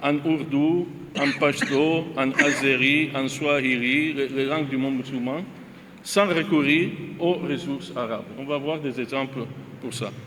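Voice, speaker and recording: A man's fairly high voice with fairly even intonation at a fairly slow pace, plus audible room echo and noticeable background noise. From Italy. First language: Italian (speaking French). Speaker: visiting academic, linguist panelist. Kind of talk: academic presentation. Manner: halting, many hesitations.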